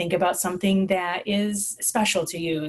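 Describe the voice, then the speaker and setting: Somewhat breathy delivery with fairly even intonation. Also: woman. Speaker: school social worker. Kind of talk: conference presentation. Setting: online presentation with screen share. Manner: fast.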